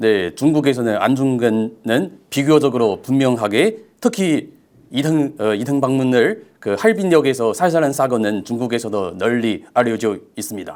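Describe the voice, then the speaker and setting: A man talks at a fairly slow pace with lively intonation and a medium pitch. The recording is very clean, with a silent background. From China. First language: Chinese (speaking Korean). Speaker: researcher, former professor. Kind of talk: interview. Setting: studio. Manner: halting.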